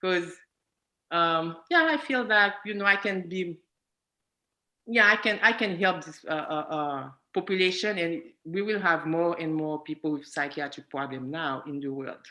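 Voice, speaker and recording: A woman's fairly low voice with a bright, sharp tone and a non-native accent, ordinary pitch variation, a moderate pace, and a quiet background. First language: not English. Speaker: psychiatric nursing student. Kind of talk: testimony in panel discussion. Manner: halting.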